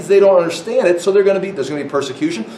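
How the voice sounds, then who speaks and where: A man with a high-pitched voice is heard through noticeable background noise and audible room echo. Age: 60s. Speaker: Bible teacher. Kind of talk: sermon. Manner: animated.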